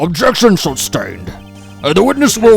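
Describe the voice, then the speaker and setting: A man uses a put-on character voice pitched high. He speaks at a moderate pace over faint music. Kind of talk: courtroom speech. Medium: game stream.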